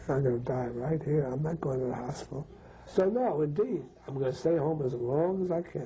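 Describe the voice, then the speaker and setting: A man with a fairly high pitch and ordinary pitch variation is heard against noticeable background noise. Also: fairly quick pace. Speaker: terminally ill professor. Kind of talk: interview.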